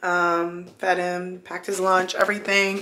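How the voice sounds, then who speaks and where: Audible room echo and noticeable background noise fill the recording. The intonation stays fairly even. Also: woman. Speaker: lifestyle vlogger. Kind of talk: casual vlog to camera. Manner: scattered, rambling delivery.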